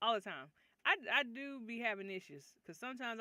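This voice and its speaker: Loud and very fast, a woman talks with lively intonation. Her tone is bright and sharp. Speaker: writing livestreamer. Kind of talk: casual livestream chat.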